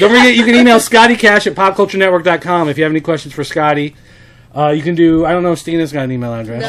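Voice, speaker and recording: Over noticeable background noise, a man with a Brooklyn accent speaks very fast in a high pitch with lively intonation. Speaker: podcast host.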